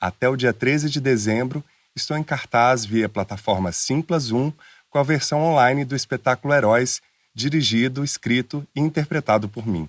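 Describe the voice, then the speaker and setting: Spoken in a São Paulo accent at a moderate pace, the voice has ordinary pitch variation and a dry, close sound with no echo. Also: man. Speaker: podcast host. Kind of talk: podcast intro.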